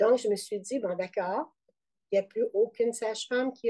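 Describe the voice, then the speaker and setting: A woman's fairly high voice, dark and mellow in tone, with ordinary pitch variation and a moderate pace. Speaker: midwife and perinatal trainer. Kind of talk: interview testimony.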